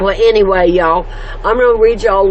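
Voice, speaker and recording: Someone with an American accent speaks at a fairly quick pace. Noticeable background noise is present. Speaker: homestead vlogger. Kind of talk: casual devotional talk. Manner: loud.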